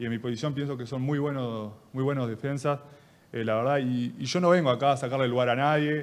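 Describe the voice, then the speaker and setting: This is a man with a medium pitch. His intonation is fairly even. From Uruguay. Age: 20s. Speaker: football player. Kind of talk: press conference. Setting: press room. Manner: halting. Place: meeting room. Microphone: podium.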